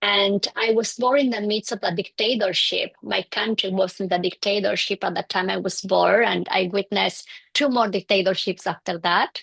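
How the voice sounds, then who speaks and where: A woman with vocal fry and a medium pitch speaks at a moderate pace, with fairly even intonation and hardly any pauses. The sound is dry and close with no echo. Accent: Bolivian. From Bolivia. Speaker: clinical psychologist. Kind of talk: interview. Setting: in person with host.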